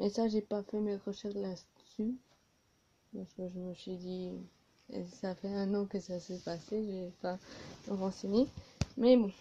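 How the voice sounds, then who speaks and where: A woman speaks very slowly at a medium pitch, with fairly even intonation and long, frequent pauses. Her tone is dark and mellow, somewhat breathy, with big swings in loudness. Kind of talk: improvised casual reaction video to camera. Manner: hesitant, with pauses.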